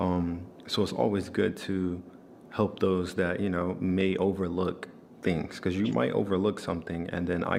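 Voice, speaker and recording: In a calm, relaxed tone, the speaker keeps a moderate pace and fairly even intonation. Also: man. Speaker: trading content creator. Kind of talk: casual talk to camera.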